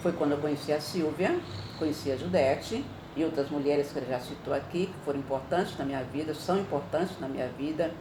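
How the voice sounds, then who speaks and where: A woman speaks at a fairly quick pace in a very deep, low voice with fairly even intonation, over noticeable background noise and audible room echo. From Brazil, mainly Ribeirão Preto (São Paulo state) from youth. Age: 70s. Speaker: retired teacher and women's NGO president, activist. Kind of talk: interview testimony.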